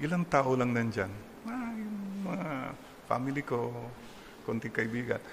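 Through noticeable background noise, the speech moves in very wide pitch swings between long, frequent pauses. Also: man. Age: 60s. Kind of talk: sermon. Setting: church.

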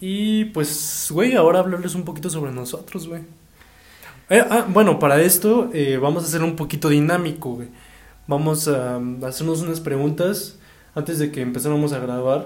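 Audible room echo surrounds this recording. A man talks at a moderate pace and fairly high pitch, with ordinary pitch variation. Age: 20s. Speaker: podcast host. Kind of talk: casual chat.

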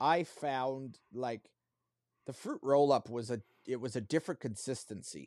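This man has an unremarkable speaking voice at a medium pitch, with ordinary pitch variation. He talks at a fairly slow pace in a very clean recording with a silent background. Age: 40s. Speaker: podcast co-host. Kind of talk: casual chat.

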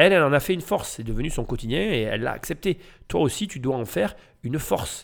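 On a very clean recording with a silent background, a man with a fairly high voice talks at a very fast pace in an animated tone, his pitch swinging very widely. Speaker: real estate podcaster and coach. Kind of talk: commentary on a TV report.

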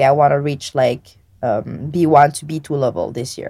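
A woman speaks with a French accent at a moderate pace. Her tone is dark and mellow, with ordinary pitch variation. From Réunion Island. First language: French and Réunion Creole. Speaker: language learner. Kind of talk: interview. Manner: halting.

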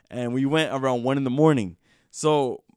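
In a very clean recording with a silent background and a dry, close sound with no echo, a man with a normal speaking voice at medium pitch talks at a moderate pace with fairly even intonation. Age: 20s. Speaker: podcast host. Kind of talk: casual chat. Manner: rambling, filler-heavy.

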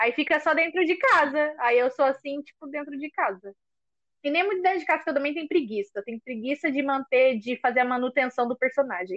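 A woman talks at a fairly quick pace in a high voice with lively intonation. The sound is dry and close, with no echo. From São Paulo coast (caiçara). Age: 20s. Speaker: podcast co-host, schoolteacher. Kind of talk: casual chat.

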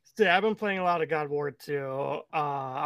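Someone with a Midwestern US accent speaks at a fairly quick pace. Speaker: podcast co-host. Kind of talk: casual chat podcast.

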